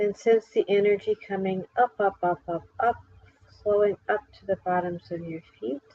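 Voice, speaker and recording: Soft-spoken and dark, mellow in tone, this voice moves at a fairly slow pace in a dry, close sound with no echo. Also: woman. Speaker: meditation guide. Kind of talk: guided meditation. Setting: live stream.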